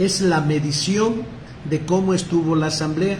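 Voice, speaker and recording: A man talks at a very slow pace with ordinary pitch variation. Audible room echo and noticeable background noise surround his voice. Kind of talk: lecture. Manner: halting, many repetitions.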